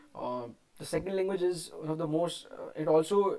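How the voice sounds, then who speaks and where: A man speaks with an Indian accent. His tone is dark and mellow. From India, Rajasthan. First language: Hindi. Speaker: English learner vlogger. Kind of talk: unscripted monologue, speaking practice. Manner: halting, many fillers and restarts.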